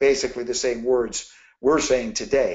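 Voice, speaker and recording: A man talks with an unremarkable speaking voice at a medium pitch. His pace is moderate. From Canada. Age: 60s. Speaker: network marketing leader. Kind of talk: motivational business talk. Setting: conference call.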